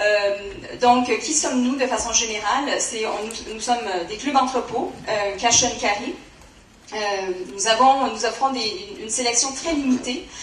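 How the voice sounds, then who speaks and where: In a Canadian French accent, a woman talks at a fairly high pitch and a moderate pace with ordinary pitch variation. Room echo is audible, along with noticeable background noise. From Canada. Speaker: company representative. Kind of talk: conference presentation. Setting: conference with audience. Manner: halting, many fillers.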